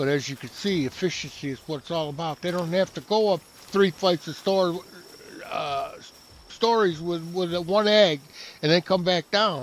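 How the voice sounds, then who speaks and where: A man's high-pitched voice moves at a moderate pace, its pitch varying in an ordinary way. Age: 70s. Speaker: game streamer. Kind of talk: gameplay commentary. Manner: halting.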